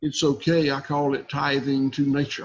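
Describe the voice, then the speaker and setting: A man with a Southern US accent, at a fairly slow pace. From US South, south Georgia. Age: 60s. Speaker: cattle farmer. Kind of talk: podcast interview. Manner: halting.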